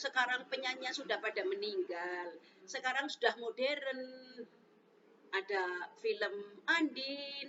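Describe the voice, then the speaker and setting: Very slow speech from a woman, high-pitched, her pitch swinging very widely. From Central Java, Brebes (Bumiayu). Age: 60s. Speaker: elderly interviewee. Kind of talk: casual interview.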